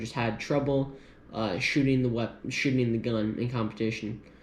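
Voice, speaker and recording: A man at medium pitch and fairly quick pace, with fairly even intonation and audible room echo. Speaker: gun youtuber. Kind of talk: casual gear review. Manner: hesitant, many fillers.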